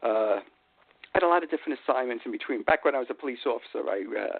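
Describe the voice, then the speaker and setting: A man with a New York accent talks at a very fast pace. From New York City, Queens. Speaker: retired police sergeant and author. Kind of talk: radio interview. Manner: hesitant, many fillers.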